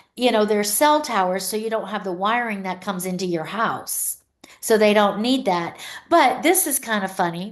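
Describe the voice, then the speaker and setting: Moderately paced, a woman speaks at a medium pitch with ordinary pitch variation. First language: Pennsylvania Dutch. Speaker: luxury real estate agent. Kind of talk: podcast interview answer.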